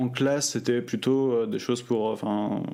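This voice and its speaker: Fairly slow speech from a man at medium pitch. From France, Normandy. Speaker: student telling his story. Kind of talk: personal testimony. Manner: hesitant, many fillers.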